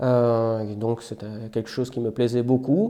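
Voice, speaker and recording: A man with a slight Belgian accent, medium pitch and a dark, mellow tone, at a fairly slow pace with fairly even intonation. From Belgium. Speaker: software developer. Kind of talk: interview. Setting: outdoors.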